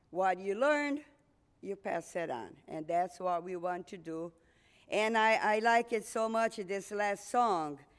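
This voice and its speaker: A woman with a Portuguese accent at a medium pitch, fairly slow and with lively intonation, on a very clean recording with a silent background. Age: 60s. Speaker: missionary. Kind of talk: testimony.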